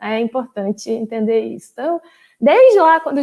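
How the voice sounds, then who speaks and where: A woman with a northeastern Brazilian accent speaks at a fairly high pitch. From Brazil, Paraíba (João Pessoa). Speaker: former graduate student, data governance specialist. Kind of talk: invited talk. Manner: hesitant, many fillers.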